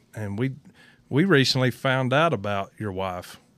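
A man with a Southern US accent in a very clean recording with a silent background. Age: 50s. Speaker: podcast co-host, racing team owner. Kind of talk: casual chat. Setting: studio.

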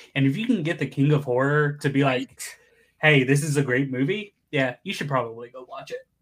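A man's fairly high, somewhat breathy voice moves at a fairly quick pace with ordinary pitch variation. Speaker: podcast guest, streamer. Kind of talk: casual chat.

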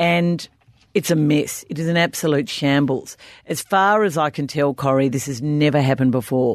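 A woman's very deep, low voice in an Australian accent, with ordinary pitch variation at a moderate pace. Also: quiet background. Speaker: podcast co-host, football journalist. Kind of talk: casual chat. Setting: studio.

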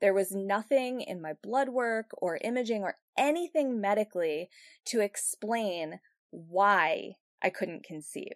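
Recorded with a dry, close sound and no echo, a woman uses a plain, everyday voice at medium pitch, speaking at a fairly slow pace with lively intonation. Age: 40s. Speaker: podcast host. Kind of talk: personal monologue.

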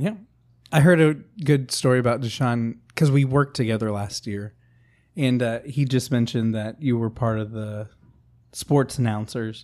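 A man at a medium pitch and moderate pace, with ordinary pitch variation and long, frequent pauses, in a very clean recording with a silent background. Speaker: podcast co-host and beginning comic. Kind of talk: casual chat.

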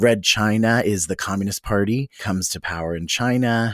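An American-accented man at a moderate pace with fairly even intonation, very clean recording, silent background. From Philadelphia, US. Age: 30s. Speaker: drag performer. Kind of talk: casual chat.

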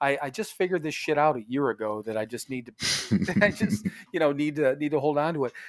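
A man's fairly high voice at a fairly quick pace, lively in intonation, on a very clean recording with a silent background. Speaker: podcast co-host in addiction recovery. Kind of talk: casual profane chat. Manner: laughs often, rambling.

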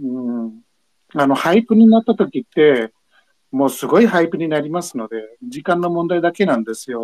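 A fairly high-pitched man speaks with very wide pitch swings in a dry, close sound with no echo. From United States. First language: English (speaking Japanese). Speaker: metaverse investor. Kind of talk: casual chat.

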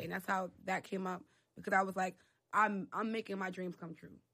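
A woman with a New York accent talks fairly quickly at a medium pitch. Her tone is bright and sharp, and her intonation stays monotone and flat. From US Northeast, the Bronx, New York City. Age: 20s. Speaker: PR professional. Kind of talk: casual interview.

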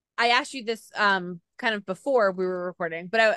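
A woman with an unremarkable speaking voice talks at a moderate pace with ordinary pitch variation, recorded with a dry, close sound and no echo. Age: 30s. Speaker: podcast host. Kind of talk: casual interview chat.

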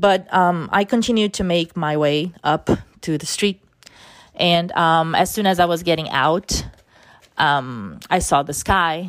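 Woman with a fairly low pitch and a Portuguese accent, speaking at a very slow pace. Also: ordinary pitch variation. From Brazil. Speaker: podcast host. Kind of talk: personal testimony. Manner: halting, many fillers.

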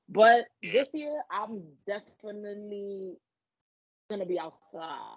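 A woman with a New York accent, at a very slow pace, with long, frequent pauses. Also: medium pitch for a woman, ordinary pitch variation. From the Bronx, New York. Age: 20s. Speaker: adult content creator. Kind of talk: casual chat.

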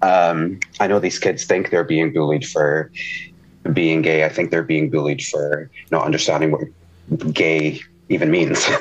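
A man's very deep, low voice with fairly even intonation and very even loudness, broken by long, frequent pauses, over noticeable background noise. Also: moderate pace. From Portugal and Scotland. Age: 30s. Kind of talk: casual chat.

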